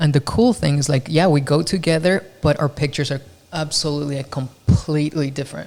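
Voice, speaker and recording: With a Spanish accent, a man speaks at a fairly quick pace in a fairly high pitch. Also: ordinary pitch variation. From Mexico. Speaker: podcast host, photographer. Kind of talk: casual chat.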